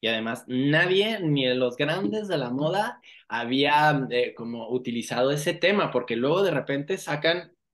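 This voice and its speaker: A man with a plain, everyday voice speaks at a fairly slow pace. His pitch is fairly high and his intonation lively. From Mexico, Escuinapa, Sinaloa. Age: 40s. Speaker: fashion designer. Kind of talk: interview.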